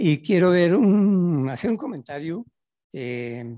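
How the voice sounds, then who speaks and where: A man's dark, mellow voice at a very slow pace with lively intonation. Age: 80s+. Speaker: audience member, economist. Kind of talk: public Q&A comment. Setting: auditorium with audience.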